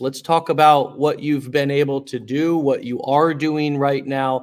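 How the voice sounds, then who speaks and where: Recorded very cleanly against a silent background, a man with a fairly high pitch and a normal speaking voice talks at a fairly slow pace with fairly even intonation. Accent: American. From United States. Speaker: podcast host. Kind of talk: interview.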